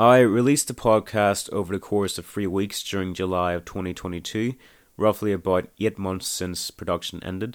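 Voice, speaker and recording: A man uses a normal speaking voice at a fairly low pitch, keeping a moderate pace and fairly even intonation in a very clean recording with a silent background. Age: 20s. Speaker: independent podcast creator and aspiring filmmaker. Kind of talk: audio commentary monologue.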